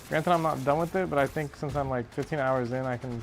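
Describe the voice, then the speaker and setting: Over noticeable background noise, a man with a medium-pitched voice mumbles at a very fast pace. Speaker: gaming streamer. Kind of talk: casual chat. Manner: mumbling; halting.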